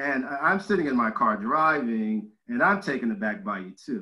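Against a quiet background, a man speaks with lively intonation and a bright, sharp tone. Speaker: host interviewer. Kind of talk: interview question anecdote. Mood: warm, laughing. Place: home room. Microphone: video call.

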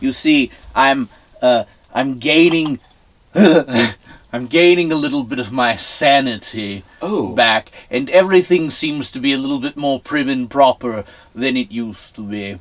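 A man's put-on character voice at a medium pitch, fairly slow, with long, frequent pauses. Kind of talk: campy horror-host comedy. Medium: comedy sketch. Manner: prim and proper, mock-distressed.

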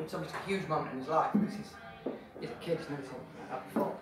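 Music plays in the background, and audible room echo surrounds the voice. A man talks very fast in a high pitch. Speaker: author. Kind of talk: casual introduction to live audience. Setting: pub, live audience. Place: bar. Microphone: camera far.

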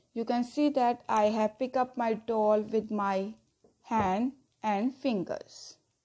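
A woman's fairly high-pitched voice at a very slow pace. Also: fairly even intonation. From India. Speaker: school teacher. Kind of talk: lecture. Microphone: phone near.

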